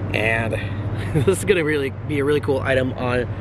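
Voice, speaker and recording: The man speaks very fast, the sound dry with no echo, over noticeable background noise. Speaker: vlogger. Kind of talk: casual vlog chat. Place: street. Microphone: phone near.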